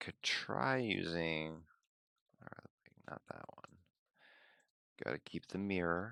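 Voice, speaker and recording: Quiet and very slow, a man with a very deep, low pitch speaks with lively intonation, long, frequent pauses and big swings in loudness. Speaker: live streamer designing 3D prints. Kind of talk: live stream tutorial commentary. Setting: live stream at home. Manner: quiet, low-key; halting, thinking aloud.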